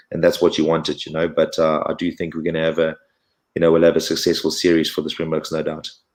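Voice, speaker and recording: Speech at a very fast pace comes through on a very clean recording with a silent background. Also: man. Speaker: former rugby player. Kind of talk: podcast interview. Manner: hesitant, many fillers.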